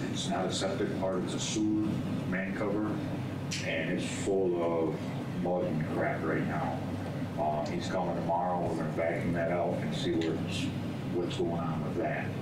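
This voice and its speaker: A man talks at a moderate pace, leaving long, frequent pauses. Loud background noise runs underneath. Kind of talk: meeting report. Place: meeting room. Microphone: camera far.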